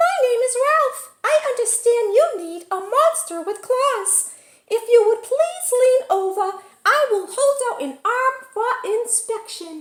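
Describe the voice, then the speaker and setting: A squeaky, put-on character voice talks at a fairly slow pace. Its pitch is extremely high. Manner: smooth, courteous.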